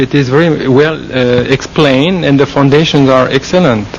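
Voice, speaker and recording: There's noticeable background noise around a man speaking. He has a fairly high pitch and talks with a French Canadian accent. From Quebec, French-speaking Canada. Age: 40s. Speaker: Buddhist monk. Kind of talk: interview. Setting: forest meditation monastery. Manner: halting, many fillers.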